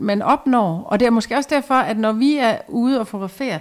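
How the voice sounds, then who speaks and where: A woman's high voice with ordinary pitch variation, on a very clean recording with a silent background. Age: 50s. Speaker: clothing stylist. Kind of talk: casual chat. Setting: at home.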